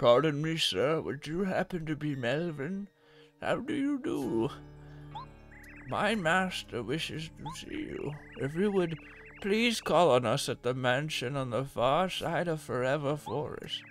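A man speaks fairly slowly in a put-on character voice at a fairly high pitch. Music plays clearly in the background. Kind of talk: comic mock-posh delivery. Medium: game stream. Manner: prim, courteous, formal.

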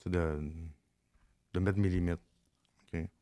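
A man's very deep, low voice in a Quebec accent, monotone and flat, against a quiet background. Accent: Québécois French. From Quebec, Laurentides (Mont-Laurier area). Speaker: former inmate sharing life story; podcast guest. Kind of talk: casual interview, personal testimony. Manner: halting, repetitive. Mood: reflective, candid storytelling. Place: studio. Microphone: studio mic.

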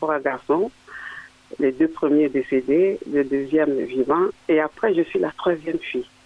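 A man talking at a fairly slow pace over noticeable background noise. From Africa. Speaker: caller. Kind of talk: call-in. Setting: phone call.

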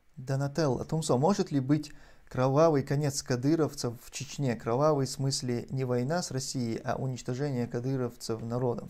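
Speaking at a moderate pace, a man has a medium pitch with ordinary pitch variation. His tone is dark and mellow. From Chechnya. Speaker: video blogger answering viewer donations; streamer answering donations. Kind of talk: livestream commentary and Q&A; live stream commentary. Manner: hesitant, frequent fillers.

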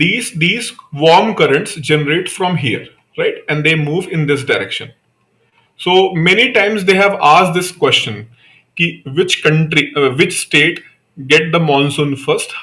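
A man talks in a high pitch with lively intonation. He leaves long, frequent pauses. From India. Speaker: online exam-prep teacher. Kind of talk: live online lecture. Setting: live video class. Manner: conversational, repetitive with frequent fillers. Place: home room.

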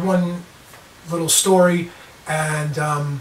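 A man's voice carries audible room echo along with light background noise. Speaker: vlogger on self-defence. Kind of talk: casual vlog storytelling. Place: home room. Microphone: camera far.

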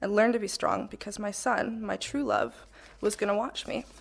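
At a fairly quick pace, a woman speaks at medium pitch with vocal fry and ordinary pitch variation, recorded very cleanly against a silent background. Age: 20s. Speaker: panelist, young mother with vision loss. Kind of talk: personal testimony speech. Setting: stage with microphone and audience. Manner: partly read from paper.

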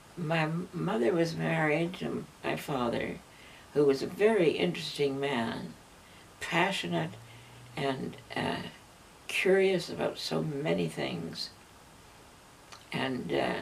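A woman's very deep, low voice in a Canadian accent, at a very slow pace with very wide pitch swings, long, frequent pauses and light background noise. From Canada. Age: 80s+. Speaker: elder recalling her life. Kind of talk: interview answer. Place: home room. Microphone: camera far.

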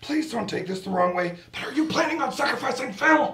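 A cartoonish character voice speaks in a high pitch at a fairly quick pace. There is a slight echo. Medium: puppet show. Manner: exasperated, sarcastic.

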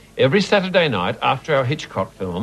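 Faint music plays in the background as a man talks in an enthusiastic tone at a fairly quick pace, his pitch swinging very widely. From Australia. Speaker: film presenter. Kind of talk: TV film introduction. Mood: warm, enthusiastic. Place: studio.

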